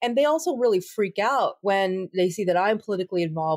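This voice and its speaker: A woman with an American accent speaks in an ordinary speaking voice at medium pitch and a moderate pace, with lively intonation, in a dry, close sound with no echo on a very clean recording with a silent background. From United States. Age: 40s. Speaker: attorney and civil rights advocate. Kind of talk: interview.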